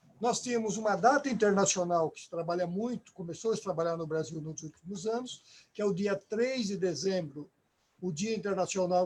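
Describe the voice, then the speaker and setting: A man talks at a moderate pace. His pitch is high. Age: 60s. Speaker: union leader. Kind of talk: live stream panel discussion. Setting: online live stream.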